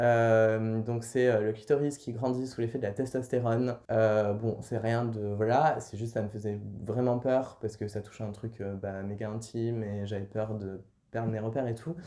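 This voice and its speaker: This man talks at a moderate pace in a medium pitch, his tone dark and mellow. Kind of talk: vlog, personal update. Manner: hesitant, many fillers.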